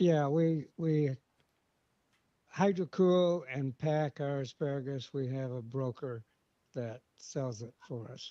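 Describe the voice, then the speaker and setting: With an American accent, a man talks at a very slow pace with long, frequent pauses, ordinary pitch variation, big swings in loudness and a dark, mellow tone, in a dry, close sound with no echo. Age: 80s+. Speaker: farmer. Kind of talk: casual interview. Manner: hesitant, many uh fillers.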